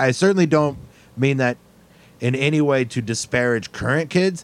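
The man has an ordinary speaking voice. He talks at a moderate pace with ordinary pitch variation. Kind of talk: casual chat.

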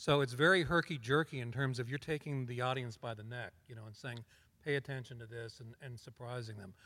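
A man with an American accent has a plain, everyday voice, medium pitch and ordinary pitch variation, talking at a fairly quick pace with big swings in loudness. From Colorado, US. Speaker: TV director and producer. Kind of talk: live panel discussion.

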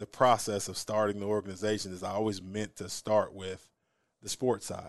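Here is a man with a plain, everyday voice and an American accent. He is fairly low-pitched and speaks at a moderate pace. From southern Missouri (Springfield). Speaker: former college football player and coach. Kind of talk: casual interview.

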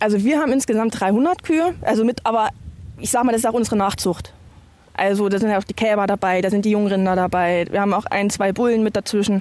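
A woman at a medium pitch, very fast pace and ordinary pitch variation. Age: 30s. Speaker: farmer. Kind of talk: casual chat. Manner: halting.

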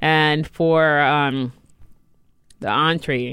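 In an American accent, a woman speaks at a very deep, low pitch with ordinary pitch variation. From New York. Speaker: head chef. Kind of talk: casual interview. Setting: studio.

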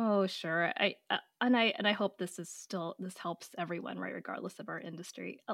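A woman with an American accent at medium pitch and a moderate pace, with vocal fry, fairly even intonation and big swings in loudness. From US West Coast. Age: 40s. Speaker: pediatric oncologist and author. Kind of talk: interview, casual conversational.

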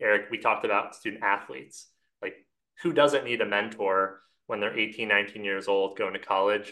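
This man has a plain, everyday voice, fairly low in pitch, with an American accent. He talks at a fairly quick pace with fairly even intonation. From New Jersey. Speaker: company founder. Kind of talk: interview.

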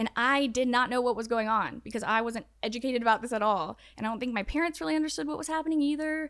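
In a very clean recording with a silent background, a woman talks at a very fast pace with hardly any pauses. Her voice is high with lively intonation. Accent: slight Southern US. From Atlanta, Georgia. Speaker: TikTok creator. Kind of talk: casual interview chat.

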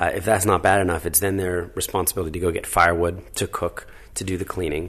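A man's very deep, low voice with an American accent, somewhat breathy, at a very fast pace. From New Jersey. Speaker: charity founder. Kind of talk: interview.

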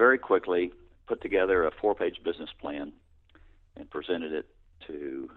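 A man speaks with a Texan accent. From Texas, Houston. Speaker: tech company co-founder and executive. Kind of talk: interview.

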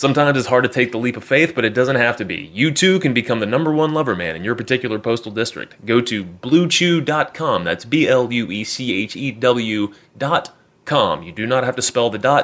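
A man with an ordinary speaking voice talks at a fairly quick pace. His medium pitch has lively intonation. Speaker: podcast host. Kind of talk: pitchman ad read. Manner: mock-salesman, hyped and tongue-in-cheek.

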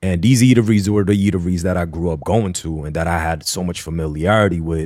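On a very clean recording with a silent background, a man with a New York accent and a very deep, low pitch speaks at a fairly quick pace with ordinary pitch variation. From Queens, New York City. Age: 30s. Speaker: food content creator, former journalist. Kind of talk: casual chat.

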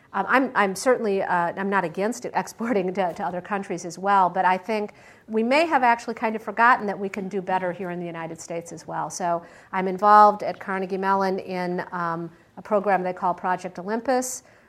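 A woman with an American accent talks at a fairly quick pace in an ordinary speaking voice, medium in pitch with ordinary pitch variation. The recording is very clean, with a silent background. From Michigan, US Midwest. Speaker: venture capitalist and former tech CEO. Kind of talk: guest talk with audience Q&A. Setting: lecture hall with live audience.

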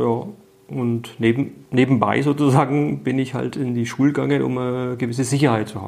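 In an ordinary speaking voice, a man speaks fairly quickly at a medium pitch with fairly even intonation. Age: 50s. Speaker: writer and former teacher. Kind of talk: interview.

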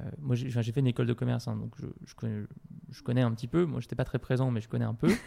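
A man talks at a very fast pace in a somewhat breathy, medium-pitched voice. His loudness swings widely. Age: 30s. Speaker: CEO of an online training company for entrepreneurs. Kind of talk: casual interview answering listener questions. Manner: halting with frequent repetitions.

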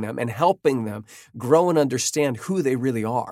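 A man with a plain, everyday voice talks at a moderate pace with lively intonation. The recording is very clean and silent behind him, dry and close with no echo. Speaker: worship leader and podcast host. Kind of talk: casual chat. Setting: studio.

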